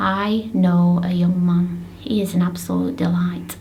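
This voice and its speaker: In a Lancashire accent, a woman speaks with audible room echo and noticeable background noise. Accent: Bolton. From northern England, Bolton. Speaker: parent advocate and blogger. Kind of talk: video blog talk.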